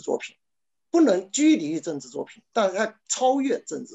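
A man with a Chinese accent and very wide pitch swings. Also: quiet background. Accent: Mandarin Chinese. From China. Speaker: novelist. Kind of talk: panel discussion. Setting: video call. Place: home room. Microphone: webcam.

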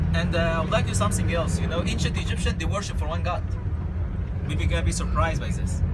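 The speech runs at a very fast pace over loud background noise. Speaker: tour guide. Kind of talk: guided tour explanation. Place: bus. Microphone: camera far.

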